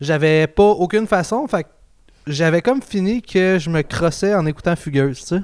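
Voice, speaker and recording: A man with a high pitch speaks at a moderate pace with ordinary pitch variation. The sound is dry and close, with no echo. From Quebec, South Shore (Marieville). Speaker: podcast host, amateur comedian. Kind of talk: casual chat.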